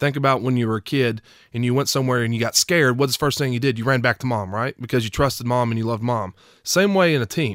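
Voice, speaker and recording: Speaking at a very fast pace with an East Tennessee accent, a man uses medium pitch and ordinary pitch variation, captured in a very clean recording with a silent background and a dry, close sound with no echo. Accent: East Tennessee Southern US. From East Tennessee (Knoxville). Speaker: former college football player. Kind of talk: casual interview.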